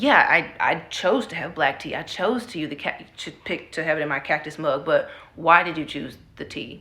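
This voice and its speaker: With a very deep, low voice, a woman speaks at a moderate pace with lively intonation and big swings in loudness. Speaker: book vlogger. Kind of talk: casual talk to camera about books. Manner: casual, filler-heavy speech.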